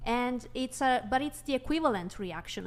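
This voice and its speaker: Over noticeable background noise, a woman with a high pitch speaks at a moderate pace with ordinary pitch variation. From Italy. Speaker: livestream guest. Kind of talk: casual debate. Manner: halting.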